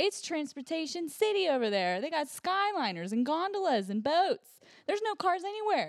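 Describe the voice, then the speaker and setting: With a Pittsburgh accent, a woman speaks at an extremely high pitch, her voice swinging very widely up and down. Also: moderate pace. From Pittsburgh, US. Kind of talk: casual chat.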